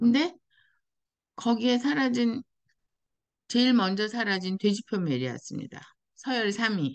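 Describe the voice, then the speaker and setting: The speaker moves at a fairly slow pace with lively intonation, leaving long, frequent pauses. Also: woman, fairly high pitch for a woman. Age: 60s. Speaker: life-design coach and YouTuber. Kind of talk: personal advice monologue.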